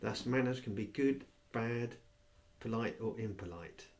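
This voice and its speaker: A man's voice sits fairly low and shows ordinary pitch variation. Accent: English. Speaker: reader of a textbook aloud. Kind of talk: reading aloud from a textbook.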